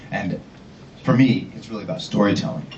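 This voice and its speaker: A man at a fairly low pitch, with audible room echo and noticeable background noise. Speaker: ad-tech innovation manager, conference speaker. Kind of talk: conference talk. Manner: casual, storytelling.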